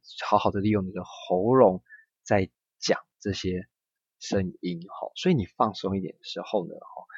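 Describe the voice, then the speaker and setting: A normal speaking voice with ordinary pitch variation, dry and close with no echo, over a quiet background. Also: man. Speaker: Japanese language teacher. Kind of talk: language lesson. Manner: slow, repetitive drilling.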